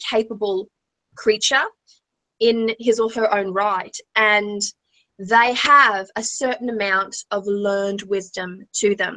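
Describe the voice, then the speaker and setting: A woman with an American accent, fairly high in pitch, bright and sharp in tone, at a fairly slow pace with fairly even intonation, in a dry, close sound with no echo. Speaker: tarot reader, co-host. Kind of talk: live-stream tarot reading. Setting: online livestream.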